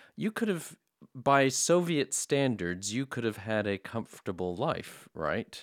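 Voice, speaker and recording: A man with an American accent speaks at a medium pitch and a fairly slow pace, his voice swinging very widely in pitch. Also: dry, close sound with no echo. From United States. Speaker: podcast host. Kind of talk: interview; scripted outro.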